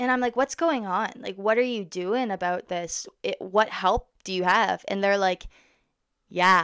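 The speaker talks at a fairly slow pace with a Canadian accent. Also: woman, medium pitch for a woman, ordinary pitch variation, quiet background. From Ontario, Canada. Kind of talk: casual vlog monologue. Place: home room. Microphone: studio mic.

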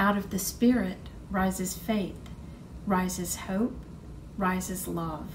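A woman at a very slow pace, with light background noise. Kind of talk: liturgical reading. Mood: calm, solemn. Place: home room.

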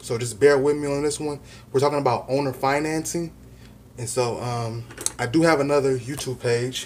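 With light background noise behind him, a man speaks at a moderate pace with fairly even intonation. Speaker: real estate vlogger. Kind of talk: casual vlog chat. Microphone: phone near.

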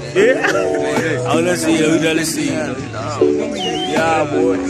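A man talks at a moderate pace over background music. The sound is dry, with no echo. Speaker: student vlogger. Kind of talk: casual vlog chat. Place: street. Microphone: phone near.

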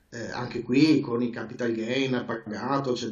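Audible room echo surrounds a man as he talks. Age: 40s. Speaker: trader; interviewee. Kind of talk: interview. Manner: halting. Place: home room. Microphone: video call.

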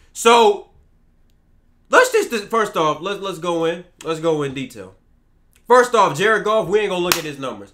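A man's high-pitched, bright, sharp voice with an American accent, lively intonation, moderate pace and long, frequent pauses. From Texas. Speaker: sports gaming YouTuber. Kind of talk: angry rant about video game player ratings. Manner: heated, exasperated and repetitive, hammering the same complaint. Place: home room.

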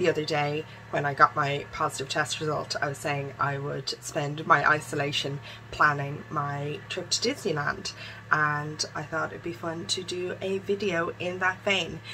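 A woman speaks at a very deep, low pitch with fairly even intonation. Faint music plays in the background. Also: moderate pace. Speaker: vlogger. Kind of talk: casual vlog chat. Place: home room. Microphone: phone near.

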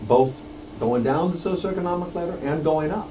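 A man's voice amid noticeable background noise. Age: 50s. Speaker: documentary filmmaker; guest. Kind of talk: radio interview. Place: studio.

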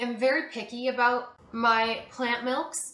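A woman's high-pitched voice with audible room echo. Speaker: vlogger. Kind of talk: casual vlog chat. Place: kitchen. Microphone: camera far.

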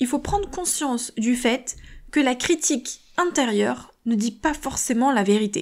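At a fairly slow pace, a woman speaks in a high pitch with lively intonation and very even loudness. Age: 30s. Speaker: podcast host and author. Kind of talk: motivational solo podcast talk.

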